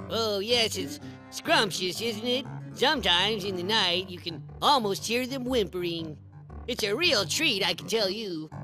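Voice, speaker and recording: Over clear background music, a cartoonish character voice speaks at a middle pitch. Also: moderate pace. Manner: sarcastic, dry.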